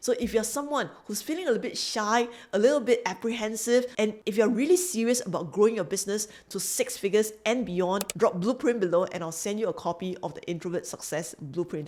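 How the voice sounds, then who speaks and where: In a Singaporean accent, a woman talks at a fairly quick pace with a fairly high pitch and lively intonation. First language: not English. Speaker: business coach. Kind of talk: motivational talk to camera; sales pitch.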